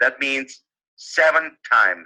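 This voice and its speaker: A man with a non-native accent at a very slow pace. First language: not English. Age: 50s. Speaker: webinar presenter. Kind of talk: live webinar talk. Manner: halting, many fillers.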